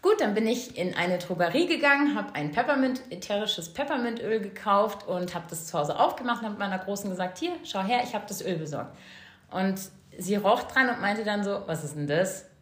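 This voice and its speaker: With audible room echo, a woman talks at a fairly quick pace in a medium pitch, her intonation lively. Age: 40s. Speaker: essential oils sales consultant, mother. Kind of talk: casual interview.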